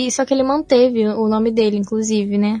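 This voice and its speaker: A woman's fairly high voice with ordinary pitch variation at a moderate pace, music in the background. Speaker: podcast host. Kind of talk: casual chat.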